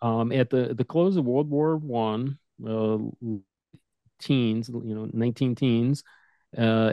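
This is an unremarkable speaking voice with an American accent. The pace is fairly slow. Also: man. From Detroit, Michigan. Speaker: instrument sales manager. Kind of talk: interview explanation.

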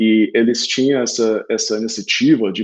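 Speaking with an English accent, a man's voice sits at a medium pitch. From Oklahoma, US (Tulsa). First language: English (speaking Portuguese). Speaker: sales enablement consultant. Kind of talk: interview. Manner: halting, with filler and repeated words.

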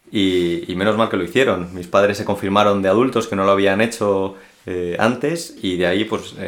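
With a plain, everyday voice, a man talks at a fairly quick pace. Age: 20s. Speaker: seminarian. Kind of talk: testimony.

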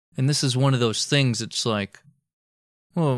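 On a very clean recording with a silent background, a man with an American accent speaks at medium pitch in a playful, animated tone. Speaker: podcast host. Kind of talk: casual chat, history storytelling with jokes. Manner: playful, animated, jokey.

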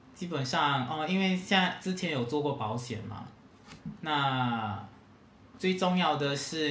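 In a room with audible echo and noticeable background noise, a man with a Singaporean accent talks at a very slow pace with lively intonation. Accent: Singaporean Mandarin. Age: 30s. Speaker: hotel sales worker. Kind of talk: casual chat.

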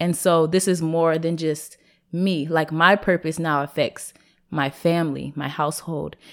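A woman with an ordinary speaking voice and an American accent talks at a moderate pace on a very clean recording with a silent background. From US Pacific Northwest, Seattle. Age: 20s. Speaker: entrepreneur, clothing line owner. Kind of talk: casual interview.

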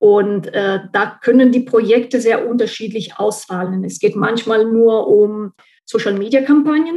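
Her dark, mellow tone sits at a fairly high pitch for a woman. She talks at a fairly slow pace with ordinary pitch variation. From central Italy. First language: Italian (speaking German). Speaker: translator and marketing consultant. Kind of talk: interview.

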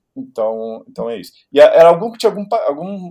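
A man speaks in a dark, mellow tone. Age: 50s. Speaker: music journalist and DJ. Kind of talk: casual chat. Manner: halting.

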